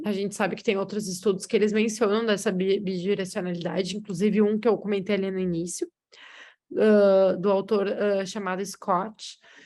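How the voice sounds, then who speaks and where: The delivery is monotone and flat, with a dark, mellow tone at a moderate pace over a quiet background. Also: woman, medium pitch for a woman. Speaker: researcher. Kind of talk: lecture.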